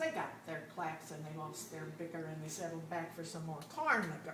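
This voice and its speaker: Noticeable background noise sits behind this speaker. She is a woman with a fairly low pitch. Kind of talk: poetry reading.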